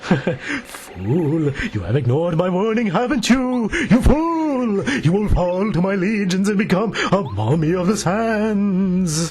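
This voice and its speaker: Over clear background noise, a man performs a put-on character voice. It is high-pitched and delivered at a fairly slow pace. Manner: menacing and theatrical.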